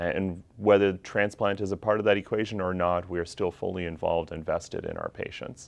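Fairly quick, flat, monotone delivery with hardly any pauses. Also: man, fairly low pitch for a man. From Canada, Calgary, Alberta. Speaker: physician. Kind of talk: self-introduction video. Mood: calm, warm, professional. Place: classroom. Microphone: lapel.

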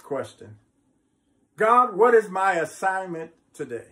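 A man speaks in a bright, sharp tone. His intonation is lively.

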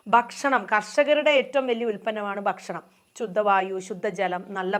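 A woman with a plain, everyday voice at medium pitch, with ordinary pitch variation. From Bangalore, India. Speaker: farmer. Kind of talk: testimony.

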